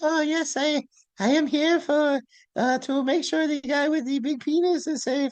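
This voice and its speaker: Putting on a character voice, a woman speaks high in pitch at a moderate pace, with fairly even intonation and very even loudness. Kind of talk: comic overacting. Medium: comedy sketch. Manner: halting, mumbling broken English.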